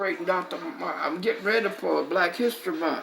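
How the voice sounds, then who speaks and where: A medium-pitched woman's voice with music in the background. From US South, North Carolina. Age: 80s+. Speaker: civil rights veteran. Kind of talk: personal testimony.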